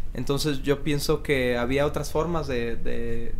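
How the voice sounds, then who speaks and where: The voice moves at a fairly slow pace in a monotone, flat intonation, with audible room echo. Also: man. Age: 40s. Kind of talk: radio interview. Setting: studio.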